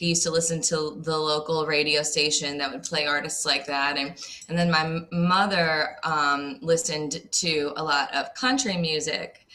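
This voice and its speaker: At a moderate pace with hardly any pauses, a woman with a very deep, low pitch shows ordinary pitch variation over noticeable background noise. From New Orleans area, Louisiana (Slidell). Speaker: singer. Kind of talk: radio interview. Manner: hesitant, with filler words.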